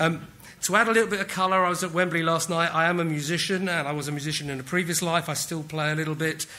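With a British accent, a man speaks very fast in a high pitch, his tone bright and sharp and his intonation fairly even. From England. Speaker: technology executive. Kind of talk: conference talk. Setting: stage with audience. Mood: light, self-deprecating humour. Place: hall. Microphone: podium.

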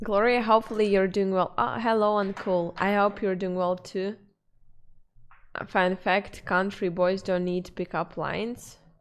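In a Russian accent, a woman of medium pitch speaks fairly slowly with monotone, flat intonation. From former Soviet region (Russian/Ukrainian, born in Kyrgyzstan); former Soviet region. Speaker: streamer. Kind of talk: casual chat. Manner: halting. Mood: relaxed, friendly. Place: home room. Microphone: studio mic.

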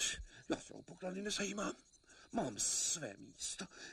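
The passage is read aloud plainly. It is plain reading aloud and nothing more.

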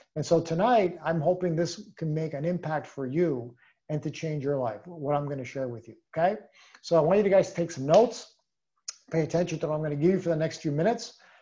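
Speaking at a very fast pace, a man keeps ordinary pitch variation. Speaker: sales team leader. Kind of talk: motivational training talk. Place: home room. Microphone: video call.

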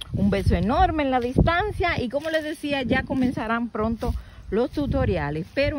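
A woman speaks at a fairly slow pace. The sound is dry with no echo, and the background noise is loud. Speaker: nature vlogger. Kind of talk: casual vlog chat. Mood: warm, delighted. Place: open country. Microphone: phone near.

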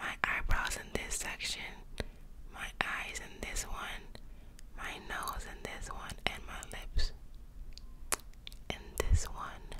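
A whispering woman at a very slow pace, with big swings in loudness. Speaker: ASMR creator. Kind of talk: soft ASMR roleplay talk. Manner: soft, close-mic ASMR voice. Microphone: studio mic.

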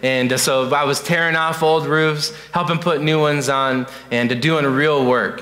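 A man with a fairly high pitch talks fairly slowly in a plain, everyday voice. His loudness stays very even and his intonation fairly even. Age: 20s. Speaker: youth pastor. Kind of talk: sermon. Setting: church. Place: church.

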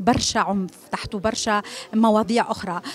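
A woman with a Tunisian accent, recorded dry with no echo. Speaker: festival organizer. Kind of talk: press interview. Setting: press conference. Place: hall. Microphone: handheld.

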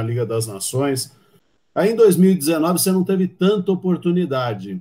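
A man speaks with a dark, mellow tone that is somewhat breathy. His intonation is lively and his pace moderate. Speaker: sports commentator. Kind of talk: casual interview. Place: home room.

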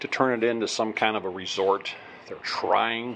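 With light background noise behind him, a man speaks at a fairly low pitch with ordinary pitch variation. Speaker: traveler vlogger. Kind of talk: casual vlog chat. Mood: mildly disappointed. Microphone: phone near.

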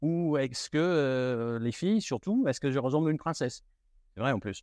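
Over a quiet background, a man speaks with a slight British accent and ordinary pitch variation. The sound is dry and close with no echo. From United Kingdom. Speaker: luxury retail manager. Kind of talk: interview. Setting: in a shop. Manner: halting.

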